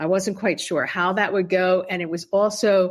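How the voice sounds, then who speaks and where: This woman has a plain, everyday voice with an American accent, a medium pitch, and ordinary pitch variation. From Pennsylvania, US. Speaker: poet and travel writer. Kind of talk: interview.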